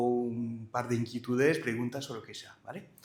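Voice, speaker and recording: A medium-pitched man's voice with a French accent and audible room echo. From France. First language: French (speaking Spanish). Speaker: company director, conference speaker. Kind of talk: conference presentation. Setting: live event with audience. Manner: hesitant, many filler sounds.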